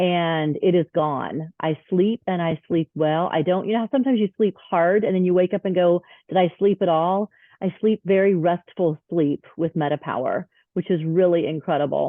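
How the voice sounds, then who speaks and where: This woman has an ordinary speaking voice, fairly low in pitch, with ordinary pitch variation. She keeps a moderate pace at very even loudness. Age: 50s. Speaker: wellness product user sharing results. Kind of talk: testimony.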